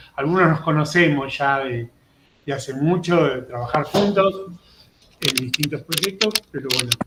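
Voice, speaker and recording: With a Rioplatense accent, a man speaks at a fairly slow pace and fairly high pitch with ordinary pitch variation, over noticeable background noise. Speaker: psychopedagogy professor, panel organizer. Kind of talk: panel discussion.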